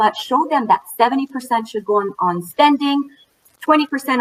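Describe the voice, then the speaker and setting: A woman with a French accent, speaking at a moderate pace with lively intonation. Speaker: financial educator for moms. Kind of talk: panel talk at online event. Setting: virtual event. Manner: animated.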